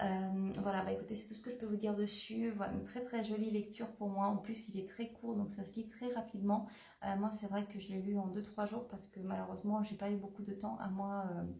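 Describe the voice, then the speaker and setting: A woman speaks in a medium pitch with monotone, flat intonation. The recording has audible room echo and noticeable background noise. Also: fairly quick pace. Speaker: book vlogger. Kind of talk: casual vlog book review. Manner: hesitant, many fillers.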